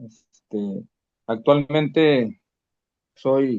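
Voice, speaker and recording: A man's voice at medium pitch. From northern Mexico (Chihuahua, Coahuila). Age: 60s. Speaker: physical education supervisor. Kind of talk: self-introduction in online workshop. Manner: hesitant, many fillers.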